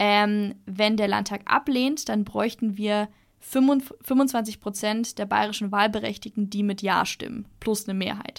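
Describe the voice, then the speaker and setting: On a very clean recording with a silent background, a woman speaks at a very slow pace. Her pitch is medium and her intonation fairly even. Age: 20s. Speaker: law student and youth-voting activist. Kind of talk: podcast interview.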